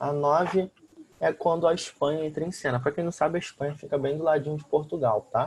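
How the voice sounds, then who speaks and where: This man talks at a moderate pace, his voice somewhat breathy and fairly high in pitch. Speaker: school teacher. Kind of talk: lecture.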